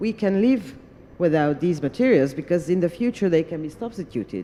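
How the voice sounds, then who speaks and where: With a Hungarian accent, this voice has a dark, mellow tone and very wide pitch swings. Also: woman. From Hungary. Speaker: parliamentarian. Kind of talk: panel discussion remarks. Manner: hesitant, with fillers.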